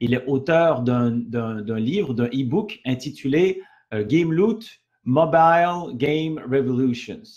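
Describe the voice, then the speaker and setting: Delivered at a very slow pace, the speech has lively intonation. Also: man, medium pitch for a man. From Canada. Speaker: network marketing presenter. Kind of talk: sales pitch webinar. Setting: online webinar. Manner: halting, many fillers and repetitions.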